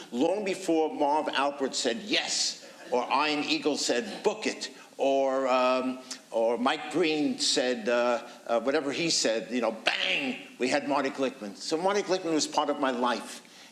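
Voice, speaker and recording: With a New York accent, a man speaks at a fairly slow pace in a fairly high pitch, with ordinary pitch variation, very even loudness and noticeable background noise. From New York City. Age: 70s. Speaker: author and historian. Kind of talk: book talk interview.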